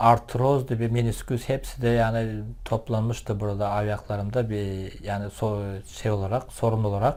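In an ordinary speaking voice, the speaker goes at a fairly slow pace with fairly even intonation. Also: man. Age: 50s. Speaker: product user. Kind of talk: testimony. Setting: at home.

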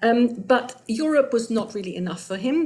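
A somewhat breathy woman's voice at a moderate pace, with lively intonation. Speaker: academic lecturer. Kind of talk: lecture. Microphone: webcam.

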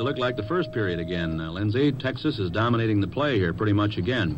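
A man talks at a very fast pace with lively intonation. Noticeable background noise runs behind him. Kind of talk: 1950s radio sports broadcast, color commentary and sponsor ads. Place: booth. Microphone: old recording.

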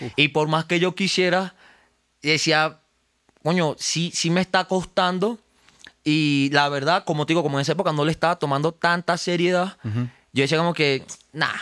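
A man talks at a moderate pace in a bright, sharp tone. His loudness stays very even against a quiet background. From Venezuela, Los Teques; Venezuela. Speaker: rapper; guest. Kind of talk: casual interview. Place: studio. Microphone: studio mic.

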